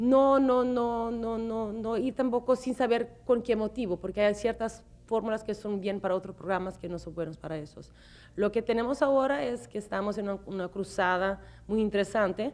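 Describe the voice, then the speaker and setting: A woman's fairly high voice with a non-native accent, at a moderate pace. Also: ordinary pitch variation. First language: not Spanish (speaking Spanish). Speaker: TV show host. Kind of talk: interview. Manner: halting.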